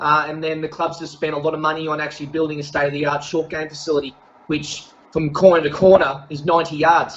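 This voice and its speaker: With an Australian accent, a man speaks in a fairly high pitch and a monotone, flat intonation. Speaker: golf professional and coach. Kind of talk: casual interview. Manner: many fillers and hesitations.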